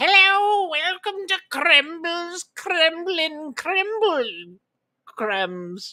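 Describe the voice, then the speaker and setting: A put-on character voice sits at an extremely high pitch. It moves at a very slow pace. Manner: sinister.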